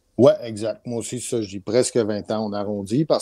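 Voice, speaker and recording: A man with a Canadian French accent and a dark, mellow tone at a fairly quick pace, dry with no echo, over a quiet background. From Quebec, Canada. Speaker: music producer; guest. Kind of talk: interview. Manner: hesitant, many fillers. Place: home room. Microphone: video call.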